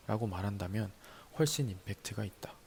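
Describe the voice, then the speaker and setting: The delivery is calm in tone, at a moderate pace. Intonation stays fairly even, and the voice is somewhat breathy. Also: man. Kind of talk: ASMR talk reading and explaining notes from a book. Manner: calm, soft-spoken.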